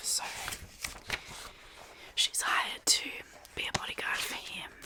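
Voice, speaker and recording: Whispering with an Australian accent, a woman is heard against noticeable background noise. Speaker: ASMR YouTuber / book reviewer. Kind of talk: casual talk to camera, book review. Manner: soft-spoken, whispering.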